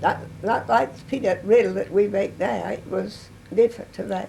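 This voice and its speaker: A woman with an East Texas accent talks at a moderate pace. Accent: East Texas Southern. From US South. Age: 90s. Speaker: oral history interviewee. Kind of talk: interview. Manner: halting.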